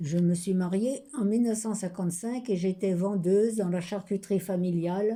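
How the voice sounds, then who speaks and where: At a fairly slow pace, a woman with a medium-pitched, dark, mellow tone speaks with ordinary pitch variation. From France, Loiret (Centre-Val de Loire). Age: 90s. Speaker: retired shop worker interviewed for an art project. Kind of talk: oral memoir / testimony.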